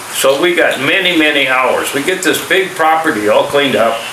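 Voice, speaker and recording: Speaking with an American accent, a man with a fairly high pitch is heard through audible room echo and noticeable background noise. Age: 60s. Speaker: army veteran and vlogger. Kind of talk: casual vlog monologue. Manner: halting.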